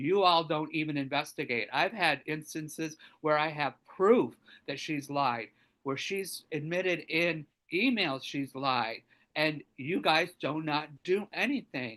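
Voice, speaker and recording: The speech comes at a fairly slow pace over a quiet background. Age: 60s. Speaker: public commenter at city meeting. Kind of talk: public comment testimony. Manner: halting.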